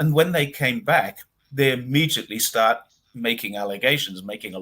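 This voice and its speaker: This man speaks at a fairly quick pace with lively intonation. His tone is bright and sharp. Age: 60s. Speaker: commentator on China. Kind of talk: casual chat. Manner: animated.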